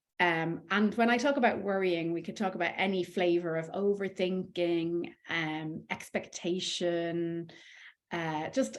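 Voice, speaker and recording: A woman with an Irish accent at a fairly slow pace. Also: fairly low pitch for a woman, ordinary pitch variation. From Ireland. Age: 40s. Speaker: life coach. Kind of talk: coaching talk.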